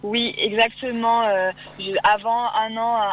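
A woman speaks at a very slow pace in a fairly high pitch with fairly even intonation. Noticeable background noise runs underneath. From Oise, Picardy, northern France. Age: 20s. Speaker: beauty pageant winner and student. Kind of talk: radio interview. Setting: phone call.

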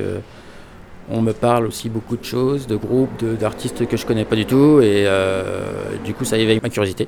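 A man speaks at a moderate pace and a medium pitch, with fairly even intonation. Noticeable background noise runs underneath. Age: 40s. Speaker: record shop owner. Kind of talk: casual interview.

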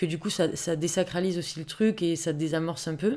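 Speaking at a fairly quick pace, a woman has an ordinary speaking voice with fairly low pitch. The recording is very clean, with a silent background. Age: 30s. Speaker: amateur boxer. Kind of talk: personal testimony. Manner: casual, many filler words.

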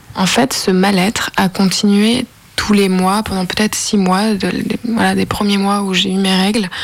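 Over noticeable background noise, a woman talks at a fairly slow pace with a medium pitch and a monotone, flat intonation. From Lyon, France. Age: 20s. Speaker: interviewee, amateur actress. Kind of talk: personal testimony.

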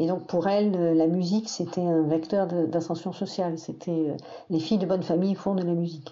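There is noticeable background noise as a woman talks at a fairly quick pace, her loudness very even and her intonation monotone and flat. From southern France, Perpignan area. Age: 60s. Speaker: teacher recounting her father's life. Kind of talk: personal testimony interview. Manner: halting, with many hesitations.

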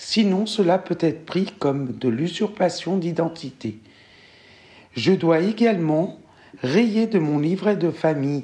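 With a dark, mellow tone and a fairly low pitch, a woman speaks at a very slow pace using lively intonation. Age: 40s. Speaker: interviewee sharing a discrimination story. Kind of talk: testimony.

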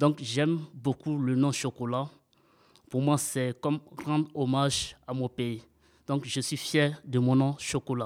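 Speaking very slowly with long, frequent pauses, a man uses a fairly high pitch and a flat, monotone intonation. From Ivory Coast. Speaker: radio workshop participant. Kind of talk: fictional storytelling.

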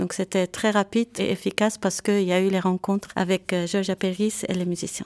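A woman speaks at a fairly quick pace in a medium pitch, flat and monotone. The sound is dry and close with no echo, on a very clean recording with a silent background. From Lebanon (Beirut), Armenian family. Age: young. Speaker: composer. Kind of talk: interview testimony.

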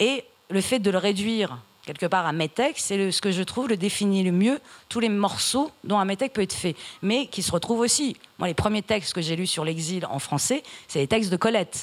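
A woman's medium-pitched voice at a moderate pace, animated in tone, with lively intonation. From Iran, raised in France from age 8. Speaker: writer. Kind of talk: literary panel discussion.

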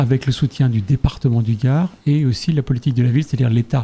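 Dark and mellow in tone, the somewhat breathy voice shows ordinary pitch variation. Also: man. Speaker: cultural association volunteer. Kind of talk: radio interview.

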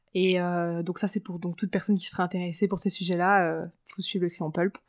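A woman speaks at a fairly quick pace in a medium pitch, her intonation flat and monotone. The recording is very clean with a silent background, and the sound is dry and close with no echo. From France, Paris. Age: 20s. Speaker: media entrepreneur. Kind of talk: interview.

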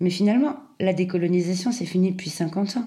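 A woman's dark, mellow, somewhat breathy voice at medium pitch and a fairly quick pace, with audible room echo. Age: 40s. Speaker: podcaster. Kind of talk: personal essay monologue.

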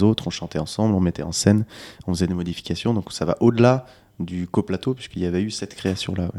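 A very deep, low male voice with a dark, mellow tone and ordinary pitch variation, in a very clean recording with a silent background. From France, Lyon area (Monts du Lyonnais). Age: 20s. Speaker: singer-songwriter. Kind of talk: interview. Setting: on location before a concert. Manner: hesitant, repeats words.

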